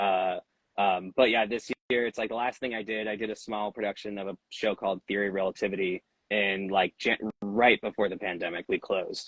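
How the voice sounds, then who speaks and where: A man's fairly low voice at a fairly quick pace, with monotone, flat intonation. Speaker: musician. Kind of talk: casual chat. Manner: halting with many fillers.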